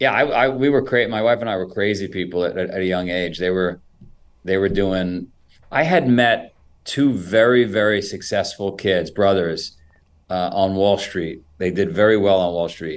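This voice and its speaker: An ordinary speaking voice from a man, fairly low in pitch, with ordinary pitch variation and a moderate pace. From New York (Queens). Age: 50s. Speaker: founder and CEO of an endurance sports brand. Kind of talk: interview conversation.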